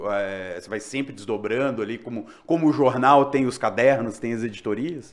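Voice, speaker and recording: With hardly any pauses, a man in an ordinary speaking voice talks at a moderate pace and medium pitch, with ordinary pitch variation. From Minas Gerais, Brazil. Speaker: podcast host. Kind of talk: casual interview chat.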